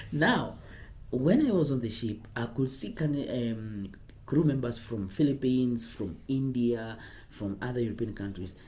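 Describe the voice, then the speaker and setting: A somewhat breathy man's voice at a medium pitch, fairly slow in pace, with ordinary pitch variation and audible room echo. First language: not English. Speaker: cruise ship careers advisor, former ship crew. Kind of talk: casual vlog advice talk. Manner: halting, self-correcting.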